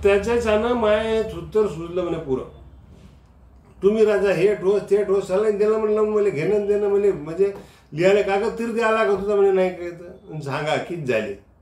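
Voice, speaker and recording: The man's voice has a high pitch. Room echo is audible. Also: ordinary pitch variation. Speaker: comedian. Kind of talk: comic monologue to camera. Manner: humorous storytelling. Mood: humorous, animated. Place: office. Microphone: phone near.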